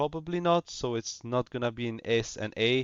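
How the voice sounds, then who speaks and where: Speaking at a fairly slow pace, a man with a medium-pitched voice talks with a non-native accent. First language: not English. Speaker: gaming YouTuber. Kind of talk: casual commentary. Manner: halting, many fillers and repetitions.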